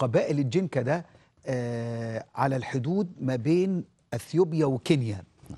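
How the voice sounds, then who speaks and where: A man's fairly high voice with a dark, mellow tone and ordinary pitch variation. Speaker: pastor. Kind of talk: sermon. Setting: studio. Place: studio. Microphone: lapel.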